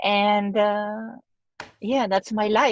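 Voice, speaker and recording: A woman with a strong French accent speaks very slowly at a fairly high pitch, in a dry, close sound with no echo. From France. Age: 40s. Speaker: actress. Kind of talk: casual chat.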